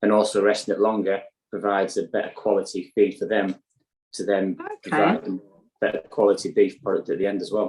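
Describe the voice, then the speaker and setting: A man with a northeast English accent talks at a fairly quick pace. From County Durham, northeast England. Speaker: sustainable beef farmer. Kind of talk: interview answer.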